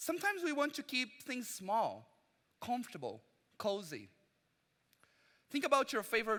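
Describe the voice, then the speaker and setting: Raised, projected speech from a man, bright and sharp in tone at a moderate pace, on a very clean recording with a silent background. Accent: Portuguese. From Brazil. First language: Portuguese. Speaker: preacher. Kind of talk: sermon. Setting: church service.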